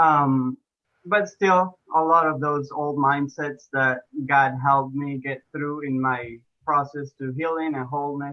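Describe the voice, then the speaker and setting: Speaking at a fairly slow pace, a man with an Argentine accent uses a fairly high pitch and fairly even intonation. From Argentina. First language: Spanish. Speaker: health and fitness coach, ex-pro soccer player. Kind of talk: podcast interview. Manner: hesitant, many fillers.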